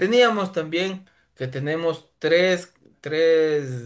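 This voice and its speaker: Against a quiet background, a man talks with a high pitch. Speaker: lawyer and driving school instructor. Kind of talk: lecture. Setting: evening class.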